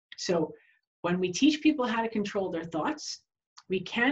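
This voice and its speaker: The speaker, with an American accent, talks at a moderate pace in a somewhat breathy voice, the pitch swinging very widely. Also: woman. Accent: New York accent, fading toward New Hampshire. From New York. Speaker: continuing education instructor for health professionals. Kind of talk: webinar lecture. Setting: online webinar. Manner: conversational, frequent rhetorical questions.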